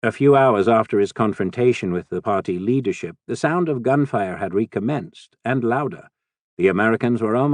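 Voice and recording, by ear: Quiet surrounds the recording. It features reading aloud in a natural voice.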